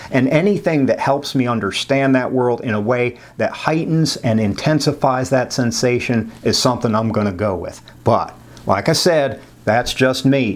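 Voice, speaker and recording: Moderate pace and medium pitch from a man, a normal speaking voice with ordinary pitch variation. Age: 60s. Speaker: psychology professor. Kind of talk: lecture. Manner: casual, conversational with many fillers.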